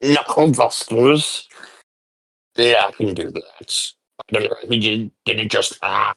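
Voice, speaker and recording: Using a put-on character voice, a man talks at a fairly slow pace with long, frequent pauses. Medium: actual play. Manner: rambling, eager.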